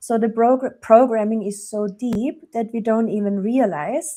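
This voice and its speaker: A woman with a German accent and a dark, mellow tone speaks very slowly with fairly even intonation. The recording is very clean with a silent background. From Germany. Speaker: relationship coach. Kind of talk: podcast interview.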